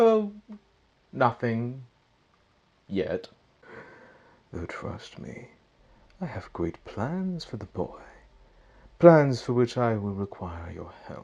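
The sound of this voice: A put-on character voice moves slowly, with long, frequent pauses and big pitch swings. It has a slightly husky edge, a slightly mellow tone and vocal fry.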